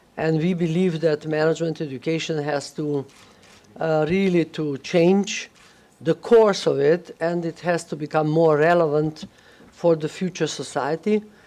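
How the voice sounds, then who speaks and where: At a fairly slow pace, a woman speaks in a very deep, low pitch with a dark, mellow tone and fairly even intonation. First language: not English, not Russian. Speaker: management school director. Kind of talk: panel discussion. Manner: halting, many fillers.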